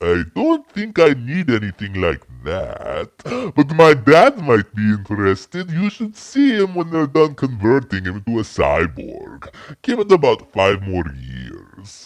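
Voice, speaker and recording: Here a man puts on a cartoonish character voice at medium pitch. He talks at a fairly slow pace. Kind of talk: comic parody.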